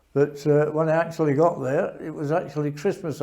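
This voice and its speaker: Speaking at a moderate pace in a Yorkshire accent, a man has a fairly high pitch and a dark, mellow tone. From northern England, Sheffield. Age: 80s+. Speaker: war veteran. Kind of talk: testimony. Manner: halting.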